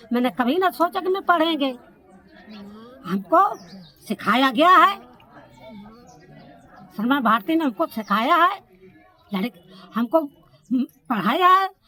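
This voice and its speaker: A woman's raised, projected voice, high in pitch with very wide swings, broken by long, frequent pauses over noticeable background noise. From Kanpur Dehat, Uttar Pradesh, India. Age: old. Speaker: adult literacy learner. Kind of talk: documentary interview answer.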